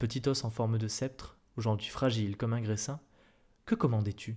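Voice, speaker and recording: A soft-spoken, somewhat breathy man at a medium pitch, dark and mellow in tone, at a moderate pace, on a very clean recording with a silent background. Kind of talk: soft-spoken ASMR reading of a short story. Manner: soft-spoken, murmured.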